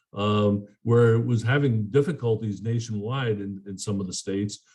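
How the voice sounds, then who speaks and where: A man speaks at a moderate pace with a dark, mellow tone. His voice is somewhat breathy. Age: 70s. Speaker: politician. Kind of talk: press conference Q&A. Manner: halting, many fillers and repeats.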